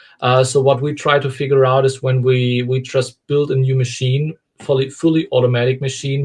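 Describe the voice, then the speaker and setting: A man with a German accent speaks at a moderate pace and medium pitch. His voice is somewhat breathy. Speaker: company founder and CEO. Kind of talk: interview. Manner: halting.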